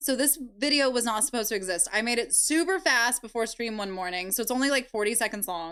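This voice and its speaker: Loud speech at a moderate pace with lively intonation. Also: woman. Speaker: live streamer and video creator. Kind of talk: casual live stream chat. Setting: live stream. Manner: giggly.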